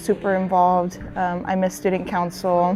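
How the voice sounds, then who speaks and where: A woman speaks with a strong Spanish accent. Her pace is moderate. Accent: thick Spanish. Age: 20s. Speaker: interviewee sharing life story. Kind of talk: personal interview testimony. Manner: halting, many fillers.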